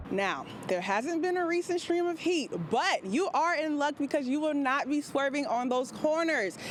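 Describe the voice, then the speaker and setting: Noticeable background noise sits behind a woman's high-pitched voice. She talks at a moderate pace with lively intonation and hardly any pauses. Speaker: broadcast news reporter. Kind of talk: live shot stand-up from the field.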